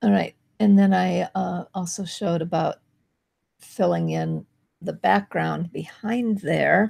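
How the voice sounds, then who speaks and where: A woman at a very slow pace, in a dry, close sound with no echo. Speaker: marketing video host. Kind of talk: tutorial.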